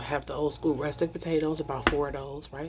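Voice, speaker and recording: A woman whispers at a very fast pace. Background noise is noticeable. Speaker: home cooking vlogger. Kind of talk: cooking tutorial vlog. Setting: home kitchen. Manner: whispering; casual, chatty.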